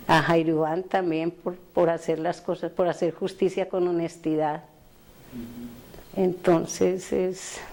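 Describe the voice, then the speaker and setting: Her speech is very slow. The woman is heard over noticeable background noise. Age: 70s. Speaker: victim's mother. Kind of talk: testimony.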